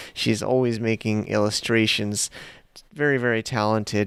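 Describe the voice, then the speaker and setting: Recorded very cleanly against a silent background with a dry, close sound and no echo, a man with an American accent speaks at a fairly slow pace. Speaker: podcast host. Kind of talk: podcast interview. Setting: coffee shop in Bangkok. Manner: casual, halting.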